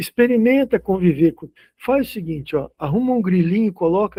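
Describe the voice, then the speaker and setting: With a dark, mellow tone and lively intonation, a man with a high pitch speaks at a moderate pace in a dry, close sound with no echo. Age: 60s. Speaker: spiritist study group leader. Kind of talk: religious study group discussion. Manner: conversational, anecdotal.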